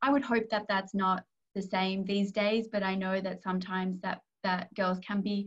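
Speaking at a moderate pace in an Australian accent, a woman sounds somewhat breathy, with fairly even intonation and a quiet background. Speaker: corporate strategy advisor. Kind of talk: career talk interview. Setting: video call. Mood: warm, friendly. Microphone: video call.

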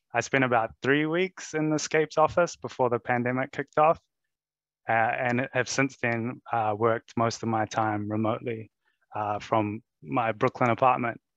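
A man speaks with a New Zealand accent. The background is quiet, and the sound is dry with no echo. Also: medium pitch for a man, ordinary pitch variation, moderate pace. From New Zealand (Wellington). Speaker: presenter. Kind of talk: presentation. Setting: video call. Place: home room. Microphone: headset.

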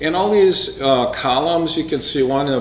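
A man talks at a moderate pace with ordinary pitch variation, with audible room echo and light background noise. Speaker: presenter. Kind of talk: slide talk presentation. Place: hall.

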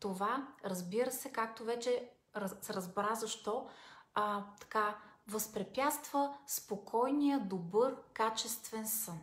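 Very slow, somewhat breathy speech with ordinary pitch variation and audible room echo. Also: woman. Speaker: self-help vlogger. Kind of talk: casual advice talk. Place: home room. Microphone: phone near.

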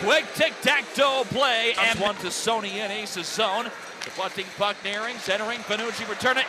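Noticeable background noise sits behind a man's high-pitched voice. He speaks at a moderate pace. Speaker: hockey play-by-play announcer. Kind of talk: live hockey play-by-play commentary. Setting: highlight video montage of game calls. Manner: excited, rising call on goals.

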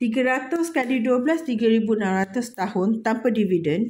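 Somewhat breathy and dark, mellow in tone, a woman speaks very slowly with ordinary pitch variation. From Malaysia. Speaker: budgeting vlogger. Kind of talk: casual vlog tutorial. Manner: giggly, frequent laughter; halting, many fillers. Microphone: phone near.

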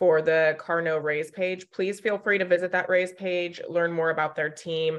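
Someone talks very fast against a quiet background. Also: woman. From US West, Sacramento area, California; California. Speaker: webinar moderator. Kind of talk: webinar moderation, reading audience questions. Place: home room. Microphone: webcam.

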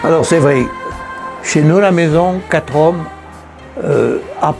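A man speaks very slowly, and light background noise can be heard. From Anniviers, Valais, Switzerland. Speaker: painter. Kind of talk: interview answer, personal recollection. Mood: emotional, moved remembrance. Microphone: lapel.

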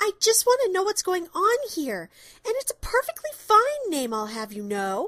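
In a put-on character voice, a female-sounding speaker talks at a moderate pace with an extremely high pitch. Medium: audio drama.

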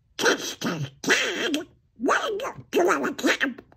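A raspy, put-on character voice. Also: man, extremely high pitch for a man. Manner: mumbling, unintelligible.

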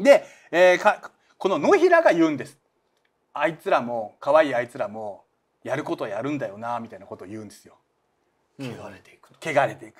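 Talking at a fairly quick pace, a man leaves long, frequent pauses and makes big swings in loudness. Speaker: manga artist and channel host; channel host. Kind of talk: casual chat about manga. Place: studio.

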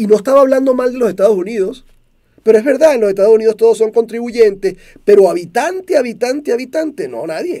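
Talking at a very fast pace in a Venezuelan accent, a man uses an extremely high pitch, lively intonation and a dark, mellow tone against a quiet background. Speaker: motivational speaker. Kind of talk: monologue talk show. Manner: clear and direct. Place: studio. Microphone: studio mic.

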